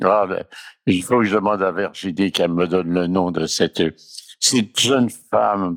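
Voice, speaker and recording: A man's ordinary pitch variation comes through in a very clean recording with a silent background. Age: 80s+. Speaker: storyteller. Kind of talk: personal reminiscence. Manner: halting.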